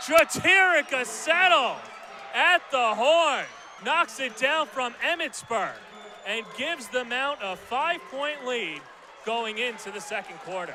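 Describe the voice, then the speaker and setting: Over noticeable background noise, a man speaks very slowly in a raised, projected voice with lively intonation. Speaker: sports play-by-play announcer. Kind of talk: live basketball play-by-play commentary.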